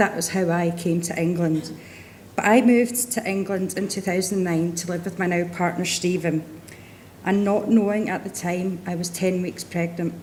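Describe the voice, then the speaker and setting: Her fairly low-pitched voice holds fairly even intonation as the woman speaks. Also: moderate pace. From Scotland. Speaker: patient speaker. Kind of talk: testimony.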